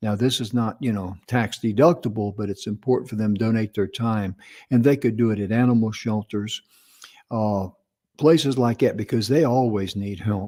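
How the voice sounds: A man speaks at fairly low pitch with a dark, mellow tone. His pace is moderate, with ordinary pitch variation.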